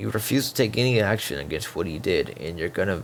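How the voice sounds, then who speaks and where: This man's pitch sits fairly low. His voice carries vocal fry. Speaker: online commentator calling someone out. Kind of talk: heated debate. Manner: halting.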